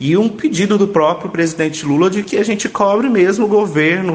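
Noticeable background noise runs under this recording. A man speaks at a moderate pace with ordinary pitch variation. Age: 30s. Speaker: union communications coordinator and lab technician. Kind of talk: radio interview.

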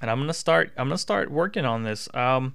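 Recorded very cleanly against a silent background, a man with an American accent talks at a fairly quick pace and medium pitch with ordinary pitch variation. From US South. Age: 20s. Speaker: political podcaster. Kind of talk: political commentary monologue. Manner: animated.

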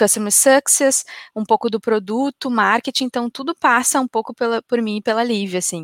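In an ordinary speaking voice, a woman with a fairly high pitch speaks at a moderate pace, the sound dry and close with no echo. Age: 30s. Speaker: marketing software executive. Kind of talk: interview on a business live stream.

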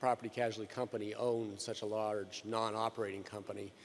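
Using a normal speaking voice, a man talks at a moderate pace. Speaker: analyst. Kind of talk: Q&A questions.

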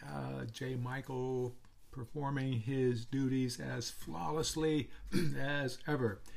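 A somewhat breathy man's voice at a medium pitch. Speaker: pastor. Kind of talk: Bible teaching lesson. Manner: hesitant, many fillers.

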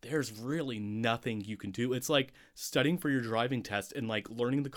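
Reading in an unforced reading voice, the speaker lets the pitch vary ordinarily.

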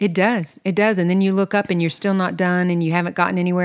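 In a Southern US accent, a woman talks at a fairly low pitch. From US South. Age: 50s. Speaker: podcast co-host and interior designer. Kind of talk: casual chat.

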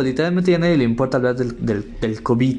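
Audible echo from the room, plus noticeable noise in the background. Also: man. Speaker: podcast host. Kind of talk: casual solo monologue. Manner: halting with many fillers.

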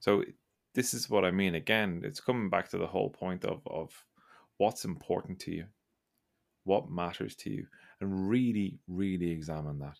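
A man with an Irish accent and a very deep, low pitch speaks at a moderate pace with lively intonation and long, frequent pauses, on a very clean recording with a silent background. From Ireland. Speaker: podcast host. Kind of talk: casual chat.

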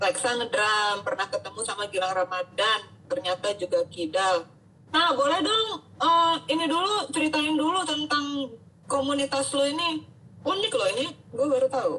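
With a raised, projected voice, a woman at a high pitch talks at a moderate pace through very wide pitch swings. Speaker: doctor, health educator host. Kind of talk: casual interview. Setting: Instagram live stream.

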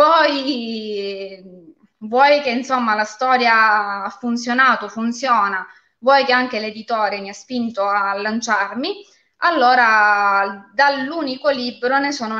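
A woman with a normal speaking voice talks at a fairly slow pace in a fairly high pitch, with ordinary pitch variation. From Calabria, Castrovillari (Cosenza). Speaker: lawyer and fantasy author. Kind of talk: live interview.

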